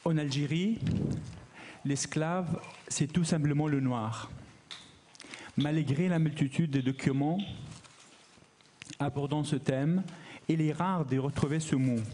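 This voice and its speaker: At a very slow pace with long, frequent pauses, a man speaks at a fairly high pitch in a dark, mellow, somewhat breathy tone. His intonation is fairly even and his loudness very even. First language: not French, learned French recently as adult (speaking French). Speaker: academic researcher, conference speaker. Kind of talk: conference talk.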